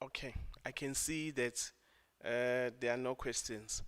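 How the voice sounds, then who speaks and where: This is a man speaking at a medium pitch. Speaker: session chairperson. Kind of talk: event moderation.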